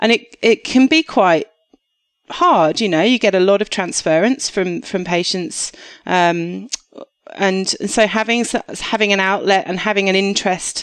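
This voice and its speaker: With a slight Australian accent, a woman talks at a moderate pace and medium pitch with ordinary pitch variation. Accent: English with slight acquired Australian twang. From southeast England. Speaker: doctor. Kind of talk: podcast interview. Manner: hesitant, many fillers.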